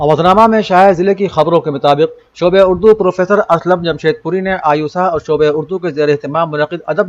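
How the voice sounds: The speaker is a man with a fairly high pitch. He talks at a fairly quick pace with ordinary pitch variation.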